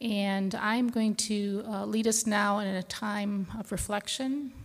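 Fairly even intonation accompanies a somewhat breathy voice. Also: woman. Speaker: prayer leader. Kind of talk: guided congregational prayer, calm and hushed, with reflective pauses. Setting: church. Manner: slow, gentle, measured, with halting 'uh' fillers.

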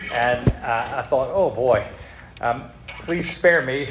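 With noticeable background noise behind him, a man with a fairly high pitch speaks with ordinary pitch variation. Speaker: pastor. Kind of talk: sermon. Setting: church.

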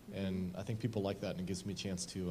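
Amid audible room echo, a man with a very deep, low pitch and a dark, mellow tone talks at a very fast pace. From Southern Oregon, US Northwest. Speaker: blind mountain climber. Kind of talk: interview before church audience.

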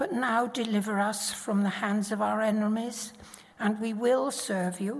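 Fairly slow speech from a woman with a normal speaking voice, fairly high pitch and fairly even intonation. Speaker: Bible reader. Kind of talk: reading aloud. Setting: church.

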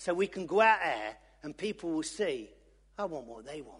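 With an East Midlands accent, a man speaks at a moderate pace with lively intonation. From Loughborough, English East Midlands. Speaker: lay preacher. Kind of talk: sermon. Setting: church.

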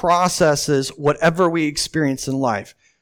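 A man with a warm tone is heard on a very clean recording with a silent background. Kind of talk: sermon. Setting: church with a live congregation.

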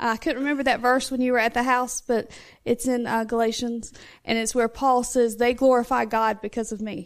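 A woman speaks at a high pitch in a flat monotone. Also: moderate pace, very clean recording, silent background. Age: 20s. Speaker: mother of eight. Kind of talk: testimony. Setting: church.

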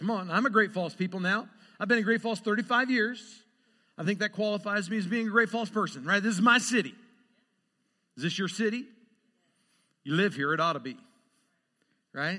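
In a very clean recording with a silent background, a man with a high pitch uses a raised, projected voice, an animated tone and a bright, sharp tone, speaking at a fairly quick pace with ordinary pitch variation and long, frequent pauses. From Idaho, US Northwest. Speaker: pastor. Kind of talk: sermon.

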